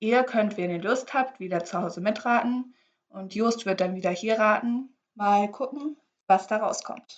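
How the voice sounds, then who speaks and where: A woman delivers her words at a fairly slow pace, keeping a fairly high pitch and ordinary pitch variation. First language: English (speaking German). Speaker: podcast co-host. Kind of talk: casual chat.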